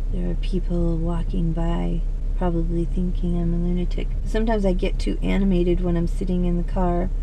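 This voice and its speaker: Light background noise sits under a woman's voice. She talks at a moderate pace, and the sound is dry with no echo. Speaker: vlogger. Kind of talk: casual vlog chat. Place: car. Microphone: phone near.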